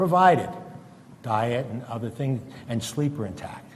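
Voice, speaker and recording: Noticeable background noise and audible room echo around a man's medium-pitched, moderately paced voice. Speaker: retired psychiatrist giving a talk. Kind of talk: lecture. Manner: halting.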